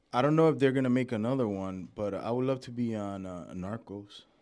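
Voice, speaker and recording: The recording is very clean, its background silent. A man talks in an American accent. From Dominican heritage, New York. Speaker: actor. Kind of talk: casual chat.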